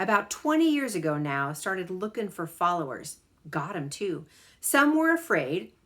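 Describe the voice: What you hear is plain reading aloud.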